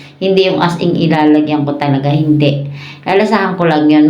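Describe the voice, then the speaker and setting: A woman talks at a moderate pace with a very deep, low pitch and fairly even intonation. Music plays in the background, and room echo is audible. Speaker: mukbang vlogger. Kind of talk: casual chat. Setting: eating on camera.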